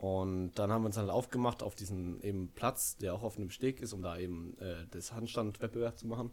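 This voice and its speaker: Fairly low in pitch, a man talks at a fairly quick pace. He barely pauses and uses ordinary pitch variation. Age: 20s. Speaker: student. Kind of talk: casual chat. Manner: halting, many fillers.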